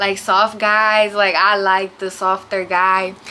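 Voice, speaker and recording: There is noticeable background noise behind the speaker. She is a woman with a medium pitch. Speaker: YouTuber. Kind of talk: storytime. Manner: casual, filler-heavy; quiet.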